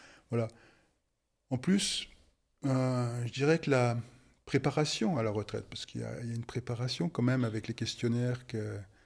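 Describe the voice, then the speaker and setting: A man at medium pitch and a fairly slow pace, on a very clean recording with a silent background. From France, Haute-Savoie. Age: 60s. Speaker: retired engineer. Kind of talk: interview testimony. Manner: halting, many hesitations.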